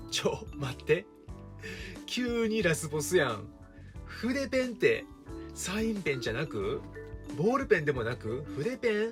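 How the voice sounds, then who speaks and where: Over background music, a man with an Osaka accent talks at a fairly slow pace with long, frequent pauses. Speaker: teacher. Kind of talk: casual storytelling to camera. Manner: relaxed, humorous.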